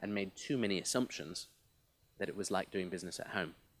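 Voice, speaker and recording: Speaking at a very fast pace with fairly even intonation, a man with a slight mid-Atlantic accent is heard on a very clean recording with a silent background. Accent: slightly mid-Atlantic. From half United States, half UK. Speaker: business representative speaker. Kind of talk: conference speech. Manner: hesitant repetitions.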